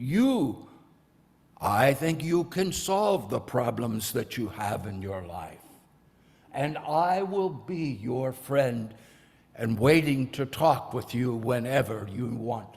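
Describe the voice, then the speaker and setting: A man in a put-on character voice at medium pitch, very slow pace and lively intonation. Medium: read story. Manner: halting, stammering.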